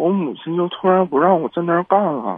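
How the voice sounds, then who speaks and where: The man's voice has a high pitch. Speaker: radio call-in caller. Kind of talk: call-in conversation. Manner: halting.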